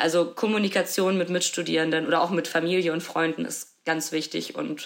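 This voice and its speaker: At a moderate pace, a woman speaks in a fairly low, flat monotone. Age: 20s. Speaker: social work student. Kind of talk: interview.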